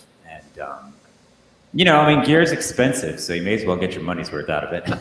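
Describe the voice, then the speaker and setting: The pitch swings very widely. Audible room echo and noticeable background noise surround the voice. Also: man. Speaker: musician. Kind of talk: casual interview.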